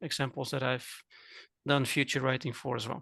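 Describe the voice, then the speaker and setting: Against a quiet background, a man with a Dutch accent speaks in a flat monotone at medium pitch, his tone bright and sharp. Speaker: cooking teacher and coach. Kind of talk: casual chat.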